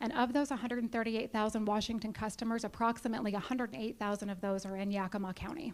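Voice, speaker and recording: Hardly pausing at all, a woman speaks very fast with fairly high pitch and ordinary pitch variation. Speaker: utility business manager. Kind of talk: presentation to a club.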